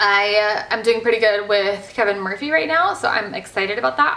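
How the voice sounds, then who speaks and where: Animated and bubbly, a woman speaks with lively intonation amid noticeable background noise and audible room echo. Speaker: hairstylist vlogger. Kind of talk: casual vlog talk. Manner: loud, bubbly.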